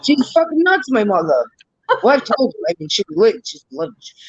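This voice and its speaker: Animated delivery with long, frequent pauses and a New York accent. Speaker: live stream co-host. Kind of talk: casual chat.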